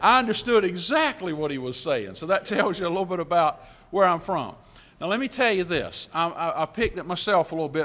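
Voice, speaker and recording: This man has a high-pitched, bright, sharp tone with a South Carolina accent. His intonation is lively and his pace fairly quick. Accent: Southern (South Carolina). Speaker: motivational speaker. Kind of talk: after-lunch keynote speech with humor. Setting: convention center banquet hall with audience. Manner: warm, friendly, upbeat.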